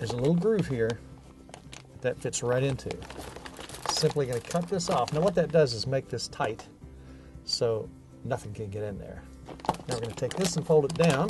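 Over clear music in the background, a man speaks at a fairly quick pace in a dry sound with no echo. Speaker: TV show host. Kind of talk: tutorial. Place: garage.

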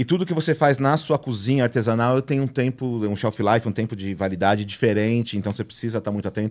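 Against a quiet background, a man speaks very fast at a medium pitch with ordinary pitch variation and hardly any pauses. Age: 40s. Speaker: food YouTuber, burger chef; food YouTuber. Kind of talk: casual chat. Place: studio. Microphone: studio mic.

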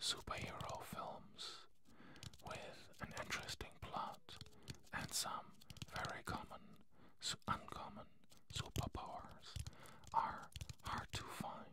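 Whispering at a very slow pace, a man leaves long, frequent pauses. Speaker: ASMR creator. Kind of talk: ASMR whispered talk to camera. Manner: whispered. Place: studio. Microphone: studio mic.

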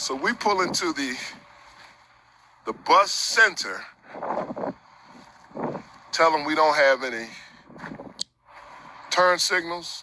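A man speaks in a dry sound with no echo, with noticeable background noise behind him. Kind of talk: casual vlog chat. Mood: grateful, upbeat. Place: street. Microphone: phone near.

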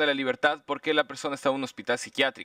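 A man with a bright, sharp tone and a fairly high pitch speaks over a quiet background, the sound dry with no echo. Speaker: human rights lawyer for petitioners. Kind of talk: witness questioning and legal argument. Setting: public hearing. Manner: formal. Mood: firm, rebutting the state. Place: meeting room. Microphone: podium.

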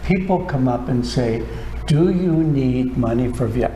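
A man talks fairly slowly, his voice carrying audible room echo over light background noise. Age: 80s+. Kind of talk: interview. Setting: studio. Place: studio.

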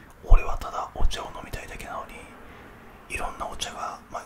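A soft-spoken man whispers at a moderate pace in a relaxed tone, with big swings in loudness. Noticeable background noise runs underneath. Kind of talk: casual soft-spoken chat. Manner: soft close-mic whisper, relaxed storytelling. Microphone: studio mic.

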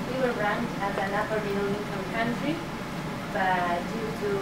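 A woman speaks at a moderate pace. Audible room echo and loud background noise surround her voice. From Argentina, Buenos Aires. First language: Spanish. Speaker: social worker. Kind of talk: presentation. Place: classroom. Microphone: camera far.

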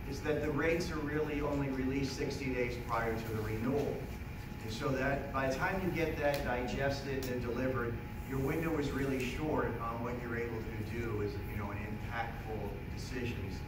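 A man talking at a fairly quick pace, with noticeable background noise and audible room echo. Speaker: speaker. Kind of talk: public talk. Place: meeting room. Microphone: camera far.

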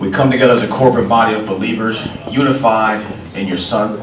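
Amid light background noise and audible room echo, a man speaks at a fairly quick pace with a fairly low pitch. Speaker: pastor. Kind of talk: invocation prayer at a public event. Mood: solemn, reverent. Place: hall.

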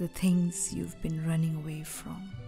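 Over music in the background, a woman with a fairly low voice speaks at a very slow pace. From India. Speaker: actor and poet. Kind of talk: poetry reading.

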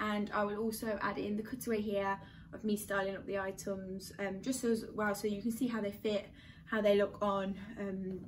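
Light background noise sits behind a woman talking at a fairly quick pace. Her intonation is monotone and flat. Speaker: fashion vlogger. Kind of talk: casual vlog chat. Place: home room. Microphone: camera far.

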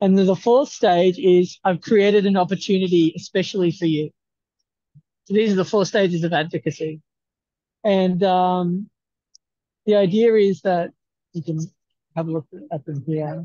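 A man with an Australian accent speaks at a moderate pace in a fairly high pitch, his intonation fairly even, with long, frequent pauses, a dry sound free of echo and a quiet background. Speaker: research institute staff; presenter. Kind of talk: video call meeting. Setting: video call from a university campus. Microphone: video call.

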